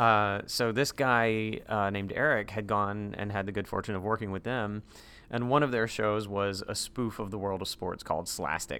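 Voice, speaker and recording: In an American accent, a man speaks at a moderate pace with fairly even intonation. His fairly low voice has a bright, sharp tone. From North Carolina, US South. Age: 40s. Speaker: actor and comedian. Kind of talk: casual chat.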